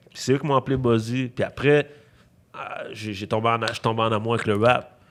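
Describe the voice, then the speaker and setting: At a fairly quick pace, a man with a medium pitch keeps fairly even intonation while his loudness swings widely. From Quebec, Montreal (Rosemont). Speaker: rapper. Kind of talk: casual chat. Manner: halting.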